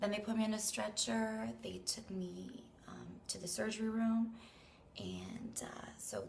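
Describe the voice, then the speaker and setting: A woman is speaking with audible room echo. Noticeable background noise runs underneath. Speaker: vlogger. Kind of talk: casual vlog update. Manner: chatty.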